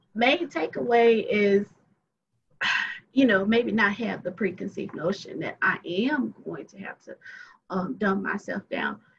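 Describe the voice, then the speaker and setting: A woman with a Southern US accent talks at a fairly slow pace, her intonation lively, her loudness swinging widely, and her speech broken by long, frequent pauses. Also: medium pitch for a woman. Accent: Southern drawl. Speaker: attorney. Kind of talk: casual chat.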